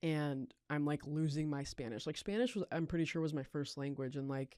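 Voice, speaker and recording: In a dark, mellow tone, a woman with an American accent speaks at a fairly quick pace with ordinary pitch variation. The recording is very clean, the background silent. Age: 20s. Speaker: recovering addict sharing her story. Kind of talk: testimony. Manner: casual, filler-heavy.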